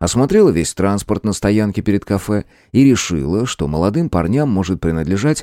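What comes through is an unforced reading voice.

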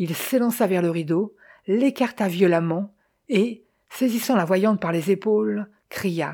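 Against a quiet background, this is plain reading aloud with ordinary pitch variation.

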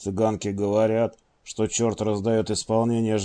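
Someone reads aloud, the voice natural.

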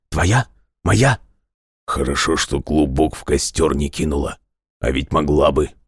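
Putting on a character voice, a man speaks at a fairly slow pace with an extremely low pitch, ordinary pitch variation, a hoarse sound, and a slightly husky edge.

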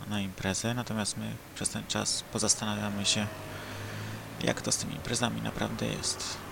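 A man's fairly low voice at a moderate pace amid noticeable background noise. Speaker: podcast host. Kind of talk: casual monologue; reading aloud.

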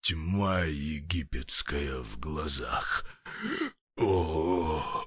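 Using a put-on character voice, a man speaks very deep and low at a very slow pace with ordinary pitch variation and long, frequent pauses.

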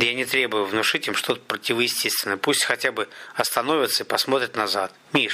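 The clip carries an unforced reading voice with ordinary pitch variation.

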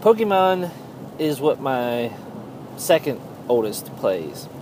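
Over noticeable background noise, a man talks. His pitch swings very widely. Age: 30s. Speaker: gaming podcaster. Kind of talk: casual solo monologue. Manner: halting, many fillers.

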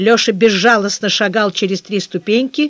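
Plain reading aloud in fairly even intonation.

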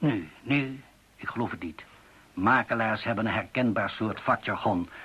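A man uses a put-on character voice with a fairly low pitch and ordinary pitch variation. His tone is bright and sharp, with a husky, rough edge. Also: moderate pace.

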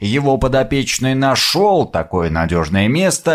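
Unforced voice reading text

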